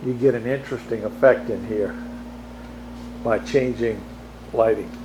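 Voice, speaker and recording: A man at a moderate pace over noticeable background noise. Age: 60s. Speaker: model railroad hobbyist. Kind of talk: video tour. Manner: casual, halting.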